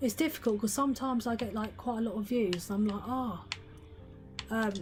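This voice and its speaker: Over music in the background, the speaker talks at a fairly quick pace with ordinary pitch variation. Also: woman, fairly high pitch for a woman. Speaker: gaming streamer. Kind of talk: live gaming stream chat.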